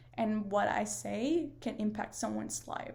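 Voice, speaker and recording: A woman with a Spanish accent. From northern Mexico, near Monterrey. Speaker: paramedic and student. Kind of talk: class video presentation. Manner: hesitant, many fillers.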